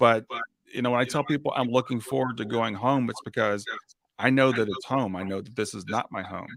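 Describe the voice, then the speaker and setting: A man talks at a fairly quick pace with a medium pitch and ordinary pitch variation. It is an ordinary speaking voice. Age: 60s. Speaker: grief coach and podcast host. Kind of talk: interview conversation.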